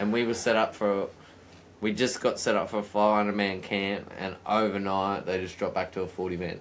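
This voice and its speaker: Speaking fairly quickly in an Australian accent, a man keeps a fairly low pitch and a monotone, flat intonation. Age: 30s. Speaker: podcast host. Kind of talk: casual chat.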